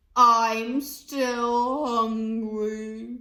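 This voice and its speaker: This is a female-sounding put-on character voice. It sits at a fairly high pitch with a monotone, flat intonation. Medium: read story. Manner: glum, plaintive.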